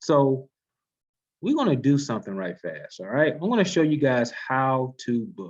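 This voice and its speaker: Over a quiet background, a man's fairly high voice moves through very wide pitch swings. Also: moderate pace. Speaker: travel agency trainer. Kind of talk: training webinar. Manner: casual, conversational.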